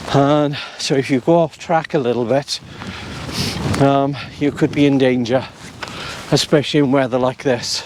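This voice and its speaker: Over noticeable background noise, a man with a South Wales accent talks at a fairly slow pace in a monotone, flat intonation and a fairly high pitch. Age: 60s. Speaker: walking vlogger. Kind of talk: casual walk-and-talk vlog. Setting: outdoors on foggy mountain.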